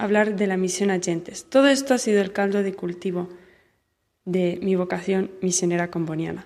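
The pace is fairly quick. A woman is the one talking. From Spain, Barcelona. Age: young. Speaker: missionary nun. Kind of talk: recorded testimony.

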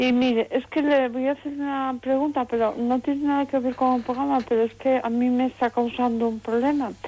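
High-pitched and dark, mellow in tone, a woman speaks at a fairly quick pace. Her intonation is monotone and flat, her loudness very even. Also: hardly any pauses. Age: 60s. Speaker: radio caller, lay evangelist. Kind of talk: phone-in call. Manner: fast.

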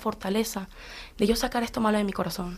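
In a very clean recording with a silent background, a woman speaks very fast at a medium pitch in a flat monotone. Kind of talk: faith sharing on live radio.

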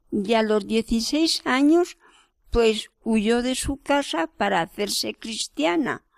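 A woman speaks very slowly with lively intonation and a fairly high pitch. The sound is dry and close with no echo, in a very clean recording with a silent background. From Madrid, Spain. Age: 80s+. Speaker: cloistered nun. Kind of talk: interview.

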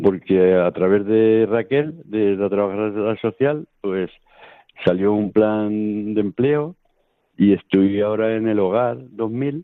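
This man's voice is fairly low in pitch. He talks at a very slow pace. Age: 50s. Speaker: charity program worker. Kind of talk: radio interview testimony. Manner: halting.

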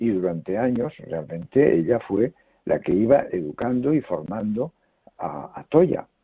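Pitch swinging very widely, a man talks at a fairly slow pace. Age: 80s+. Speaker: foundation president and researcher. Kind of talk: interview. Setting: phone call.

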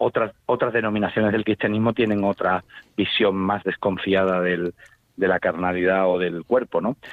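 A man's fairly low voice at a moderate pace, with very even loudness and fairly even intonation. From Seville, Spain. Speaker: poet and musician. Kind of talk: radio interview. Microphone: distorted phone line.

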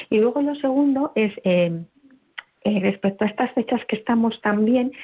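A woman's normal speaking voice at a moderate pace with ordinary pitch variation. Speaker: radio caller. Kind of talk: listener question on call-in show. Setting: phone call.

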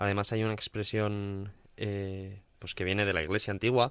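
With a Castilian accent, a man speaks fairly slowly in a fairly low voice on a very clean recording with a silent background. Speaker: radio co-host. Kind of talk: casual chat.

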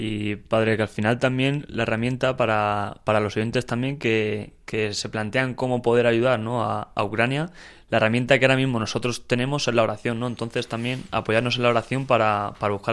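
A man talks at a fairly quick pace with hardly any pauses, his pitch medium and his intonation monotone and flat. The background is quiet. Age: 20s. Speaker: volunteer, student. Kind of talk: casual interview.

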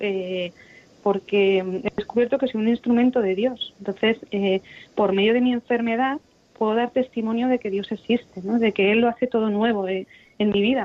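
A woman with a plain, everyday voice and a fairly high pitch speaks at a moderate pace with fairly even intonation. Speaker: kidney transplant patient. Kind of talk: radio interview.

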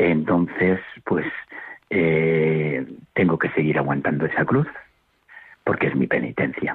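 With very deep, low pitch, a man speaks at a very slow pace, leaving long, frequent pauses. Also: ordinary pitch variation. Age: old. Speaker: retired caller. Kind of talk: phone-in call.

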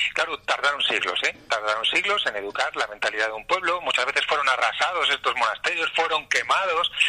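A man talks at a fairly quick pace with hardly any pauses. Noticeable background noise runs underneath. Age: 50s. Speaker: journalist, editorial director. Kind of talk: interview.

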